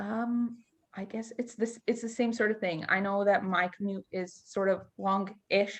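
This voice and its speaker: Medium pitch, a woman at a fairly slow pace with monotone, flat intonation. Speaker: student orientation leader. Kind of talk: online workshop Q&A. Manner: loud.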